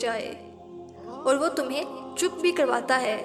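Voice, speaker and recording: A calm woman's voice, high in pitch, with music in the background. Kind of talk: Islamic inspirational quote narration. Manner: calm, sermon-like address to the listener.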